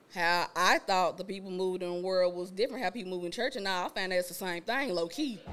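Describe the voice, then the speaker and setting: With noticeable background noise around her, a woman talks at a medium pitch. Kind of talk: casual chat. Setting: studio with live audience.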